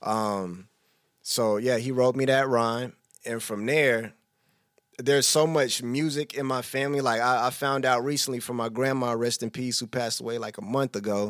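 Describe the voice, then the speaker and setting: A man speaks in an unremarkable speaking voice with an American accent, medium pitch, fairly even intonation and a moderate pace. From Texas (Killeen). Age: 30s. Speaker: hip hop artist. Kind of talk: casual interview. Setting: studio.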